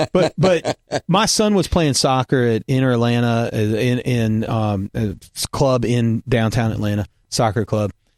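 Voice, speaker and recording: Speaking at a fairly slow pace with ordinary pitch variation, a man with a Southern US accent comes through on a very clean recording with a silent background. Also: medium pitch for a man. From US South. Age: middle-aged. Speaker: podcast host, former pastor. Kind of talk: casual chat.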